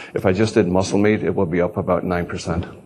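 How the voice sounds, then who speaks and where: Against noticeable background noise, a man speaks at a very deep, low pitch with fairly even intonation. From Ireland. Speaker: agricultural economist, professor. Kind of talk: conference presentation. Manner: hesitant, many fillers.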